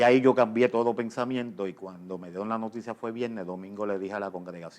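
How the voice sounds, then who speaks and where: Talking at a fairly quick pace, a man with a normal speaking voice keeps a fairly low pitch and fairly even intonation. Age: 60s. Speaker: pastor. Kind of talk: interview testimony.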